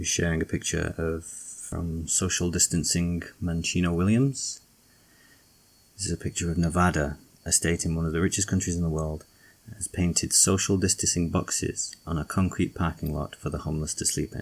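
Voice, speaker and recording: A man with a very deep, low pitch and a British accent, at a moderate pace. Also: fairly even intonation. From UK. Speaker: political commentator. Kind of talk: rant.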